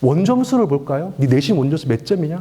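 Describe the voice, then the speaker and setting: In a Daegu accent, a man talks at a fairly quick pace with an animated tone and very wide pitch swings over noticeable background noise. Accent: Gyeongsang (Daegu) dialect. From Daegu, South Korea. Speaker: education lecturer. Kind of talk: public lecture to parents. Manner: animated, rhetorical questions.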